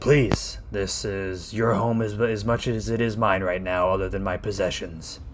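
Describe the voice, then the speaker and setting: A man's put-on character voice, fairly low in pitch, at a moderate pace with hardly any pauses and clear background noise. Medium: actual play. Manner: formal, calm, polite.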